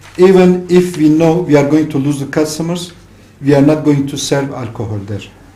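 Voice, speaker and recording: With a Turkish accent, a man talks at a moderate pace and fairly high pitch with ordinary pitch variation, amid noticeable background noise and audible room echo. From Turkey, Gaziantep. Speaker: restaurant owner. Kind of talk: radio interview.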